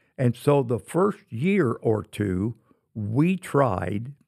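A man's dark, mellow voice at medium pitch with an American accent, on a very clean recording with a silent background. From Indiana, US Midwest. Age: 80s+. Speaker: retired football coach. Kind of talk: casual interview. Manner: halting, many fillers.

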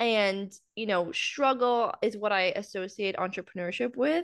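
A woman with a Canadian accent and a normal speaking voice, fairly high in pitch, with lively intonation at a fairly slow pace, in a dry, close sound with no echo against a quiet background. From central Canada, small town. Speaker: business mindset coach. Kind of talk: casual interview.

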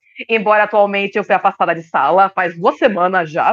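A woman talks at a fairly quick pace and a medium pitch. It is a normal speaking voice. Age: 30s. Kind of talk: casual chat.

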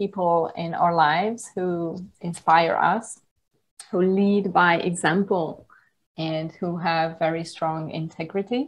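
A woman with a Hungarian accent speaks very slowly in a fairly low voice. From Hungary (countryside). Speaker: yoga teacher. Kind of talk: interview.

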